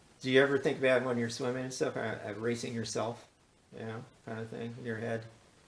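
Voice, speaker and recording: A man's medium-pitched voice at a very fast pace, monotone and flat, with big swings in loudness and audible room echo. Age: 70s. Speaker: podcast host. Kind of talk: casual chat. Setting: interview at guest's home.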